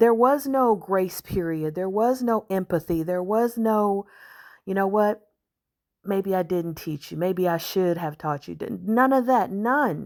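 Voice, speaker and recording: In a very clean recording with a silent background, a woman with an unremarkable speaking voice and medium pitch talks at a fairly slow pace with lively intonation. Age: 50s. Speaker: commentary vlogger. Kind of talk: monologue commentary.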